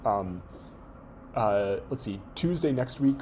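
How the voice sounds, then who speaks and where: Fairly low in pitch, this man has a dark, mellow tone. He talks at a fairly slow pace, and audible room echo surrounds him. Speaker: university lecturer. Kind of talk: lecture. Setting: classroom with students. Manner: halting, many fillers.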